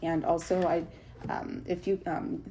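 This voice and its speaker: A woman speaks over noticeable background noise. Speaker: tarot reader. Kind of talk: tarot reading. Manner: halting, many fillers.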